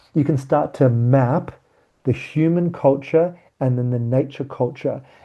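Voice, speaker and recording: A man speaks in a fairly high pitch with a dark, mellow tone. His voice is somewhat breathy and his intonation fairly even. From South Africa. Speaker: workshop facilitator. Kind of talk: online training session.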